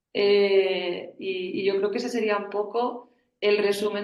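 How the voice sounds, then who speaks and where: A woman talks in a medium pitch, keeping a fairly slow pace. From Spain. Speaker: family business board member. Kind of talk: panel discussion.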